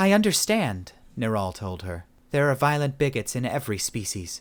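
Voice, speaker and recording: Against a silent background in a very clean recording, a man does a put-on character voice at a medium pitch and moderate pace, with very wide pitch swings. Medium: read story.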